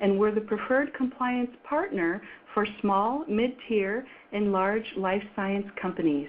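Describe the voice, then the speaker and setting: Using a normal speaking voice, a woman talks at a fairly slow pace, her fairly high pitch showing ordinary variation. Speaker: webinar host. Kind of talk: webinar introduction.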